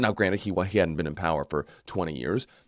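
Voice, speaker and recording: A man's voice with vocal fry, dry and close with no echo, in a very clean recording with a silent background. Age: 40s. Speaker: podcast host. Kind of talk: interview.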